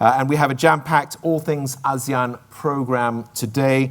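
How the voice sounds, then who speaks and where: Moderate-paced speech from a man. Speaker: event host. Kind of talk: event announcements. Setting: stage at business forum. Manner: clear enunciation.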